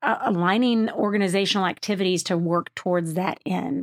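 A woman with an American accent speaks at a moderate pace and medium pitch in a plain, everyday voice with ordinary pitch variation. The recording is very clean with a silent background, and the sound is dry and close with no echo. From Waco, Texas. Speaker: nonprofit CEO. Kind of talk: interview. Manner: many fillers and restarts.

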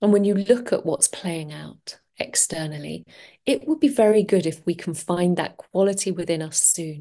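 With a London accent, a woman speaks at fairly low pitch in a dark, mellow tone. Her pace is moderate, with ordinary pitch variation. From London, England. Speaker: podcast host and transformational coach. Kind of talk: solo podcast monologue.

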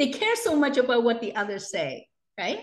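Heard with audible room echo, a woman speaks at a high pitch. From Hong Kong. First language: Cantonese. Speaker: entrepreneur and educator. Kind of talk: interview.

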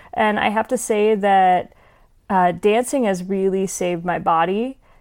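A normal speaking voice with an American accent comes at a fairly slow pace and fairly even intonation in a very clean recording with a silent background. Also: woman. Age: 20s. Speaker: singer-songwriter and actress. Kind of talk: casual interview.

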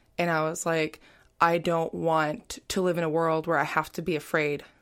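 On a very clean recording with a silent background, a woman with an American accent and a normal speaking voice talks at a moderate pace, fairly low pitch and fairly even intonation. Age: 20s. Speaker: LGBT youth program participant. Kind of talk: interview.

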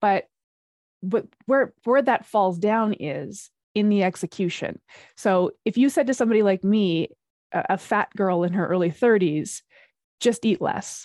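A woman speaks at a medium pitch and a fairly slow pace, with ordinary pitch variation, in an unremarkable speaking voice. The sound is dry and close with no echo, and the background is quiet. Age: 40s. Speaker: fitness and metabolism coach. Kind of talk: interview.

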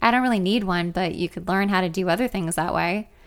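The speaker is reading aloud in a natural voice, and the pitch varies in an ordinary way.

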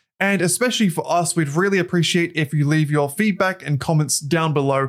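A man with an Australian accent, fairly high-pitched, fairly quick, with ordinary pitch variation. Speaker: podcast co-host and YouTuber. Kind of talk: casual chat; scripted intro. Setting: remote recording.

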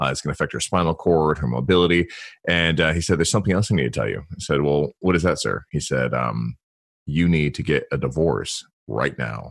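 A man's very deep, low voice with vocal fry and ordinary pitch variation, at a fairly quick pace on a very clean recording with a silent background. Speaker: consultant, former federal officer. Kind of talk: interview.

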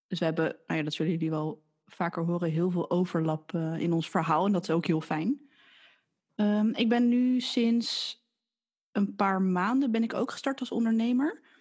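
Over a quiet background, a woman speaks at a moderate pace and medium pitch, with lively intonation and very even loudness. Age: 20s. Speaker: podcast co-host, physiotherapist recovering from burnout. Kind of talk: casual chat.

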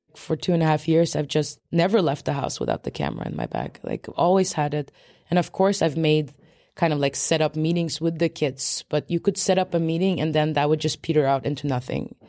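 A woman with a very deep, low pitch, vocal fry and a dark, mellow tone talks at a fairly quick pace with fairly even intonation, in a dry, close sound with no echo. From Sweden, Polish immigrant family. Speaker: documentary film director. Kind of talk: interview. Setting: public library with children in background.

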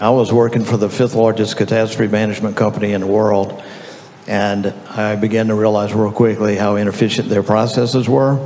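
Against noticeable background noise, a man with an American accent talks fairly quickly in a fairly low, flat monotone. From Louisiana. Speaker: software company founder. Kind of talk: panel discussion. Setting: stage with audience.

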